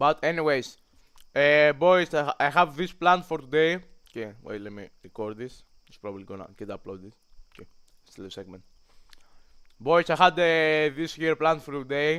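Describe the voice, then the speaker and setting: A man talks at a moderate pace with a fairly high pitch and lively intonation. He leaves long, frequent pauses, and the recording is very clean with a silent background. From Greece. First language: Greek. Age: young. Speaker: streamer. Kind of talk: casual livestream chat. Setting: livestream. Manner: halting.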